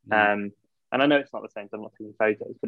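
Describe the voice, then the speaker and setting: Very fast speech in a Yorkshire accent. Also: man. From Yorkshire, England. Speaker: film photography shop owner. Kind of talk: casual interview chat.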